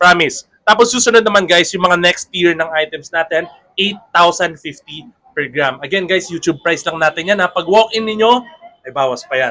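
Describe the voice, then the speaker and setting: Ordinary pitch variation marks this man's high-pitched speech. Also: moderate pace. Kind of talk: sales pitch. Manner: lowered voice.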